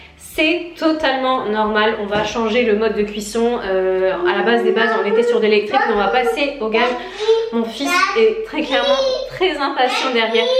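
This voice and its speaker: With lively intonation and a fairly high pitch, a woman speaks at a moderate pace over noticeable background noise and audible room echo. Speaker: lifestyle vlogger. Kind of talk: casual vlog talk to camera.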